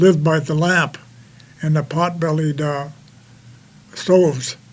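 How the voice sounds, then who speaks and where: A man with an American accent speaks at a fairly high pitch and fairly even intonation over noticeable background noise. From US Midwest, Dakota reservation. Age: 80s+. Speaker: war veteran. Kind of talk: testimony. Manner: halting, many fillers.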